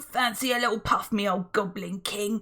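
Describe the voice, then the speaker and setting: A woman puts on a growling character voice at a medium pitch. She keeps to a moderate pace. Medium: read story. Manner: wheedling, sly.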